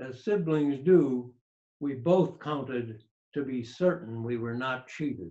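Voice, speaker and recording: A man's very slow voice, dark and mellow in tone, with ordinary pitch variation and big swings in loudness. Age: 80s+. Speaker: elderly father. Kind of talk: reading his own story aloud. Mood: calm, reflective. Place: home room. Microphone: video call.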